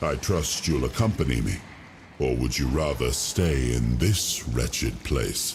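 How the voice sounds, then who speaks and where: In a put-on character voice, a man speaks with a very deep, low pitch, ordinary pitch variation and very even loudness at a fairly slow pace. Background noise is clearly audible. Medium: video game. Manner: regal, measured.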